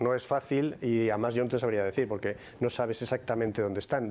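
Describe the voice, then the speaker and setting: A man talks fairly quickly at a medium pitch. His intonation is monotone and flat. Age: 60s. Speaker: conference speaker. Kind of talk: Q&A after a talk. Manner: repetitive, halting starts.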